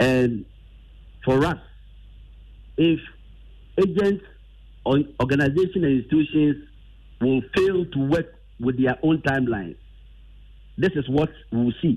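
With a dark, mellow tone, a man speaks at a fairly slow pace in a fairly high pitch, with ordinary pitch variation and long, frequent pauses. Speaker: teachers' association leader. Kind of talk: news interview.

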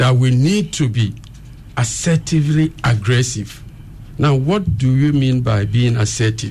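Amid noticeable background noise and audible room echo, a man speaks fairly slowly at medium pitch, with ordinary pitch variation and very even loudness. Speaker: emotional intelligence expert. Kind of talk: radio interview. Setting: radio studio. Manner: asked to speak up.

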